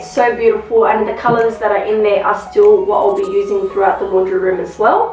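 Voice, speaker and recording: There is audible room echo and faint music in the background. A woman talks at a fairly quick pace. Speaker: home DIY vlogger. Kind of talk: casual vlog chat. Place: home room. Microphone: camera far.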